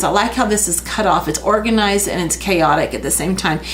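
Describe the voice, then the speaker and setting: Mumbled speech with lively intonation comes through over noticeable background noise and audible room echo. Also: woman. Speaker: art teacher. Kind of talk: tutorial. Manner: mumbling.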